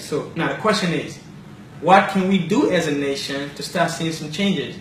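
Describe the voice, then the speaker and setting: A man with a Liberian accent speaks at a moderate pace. The room echo is audible and the background noise is noticeable. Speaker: talk show host. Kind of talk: commentary monologue.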